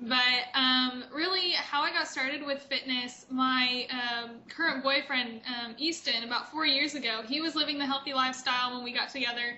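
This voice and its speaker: A high-pitched woman's voice with an American accent, fairly even intonation, moderate pace, and audible room echo. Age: 20s. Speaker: fitness competitor. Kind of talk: interview.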